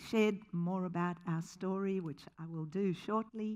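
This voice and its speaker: A woman speaks at medium pitch with a slight South African accent. The recording is very clean with a silent background. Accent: slight South African tinge. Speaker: charity founder. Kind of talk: keynote talk. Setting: stage with audience. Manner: animated.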